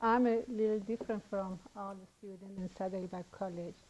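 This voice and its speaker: With a Persian accent, a woman speaks at a moderate pace with fairly even intonation and big swings in loudness. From Iran. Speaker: student. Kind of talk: testimony.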